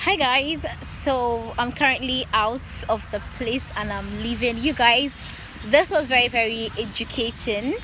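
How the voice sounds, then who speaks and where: A woman speaks in a high voice with ordinary pitch variation and a Nigerian accent. Noticeable background noise runs behind her. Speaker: YouTuber. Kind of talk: vlog outro to camera.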